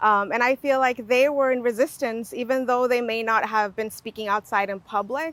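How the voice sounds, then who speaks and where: A woman's fairly high voice at a fairly quick pace, fairly even in intonation, in a very clean recording with a silent background and a dry, close sound with no echo. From Guatemala, raised in US. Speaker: language justice practitioner. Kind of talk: personal story in conversation.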